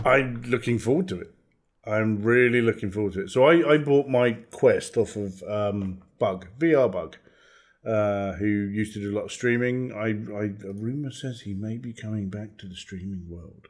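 A man's fairly low voice with a British accent, at a moderate pace, with big swings in loudness. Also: ordinary pitch variation. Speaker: podcast host. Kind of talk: casual chat.

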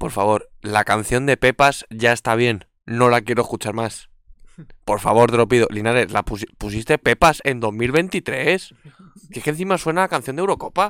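Lively intonation from a man at medium pitch and moderate pace, with a dry, close sound, no echo, and a very clean recording with a silent background. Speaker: podcast co-host. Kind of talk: casual chat. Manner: soft-spoken.

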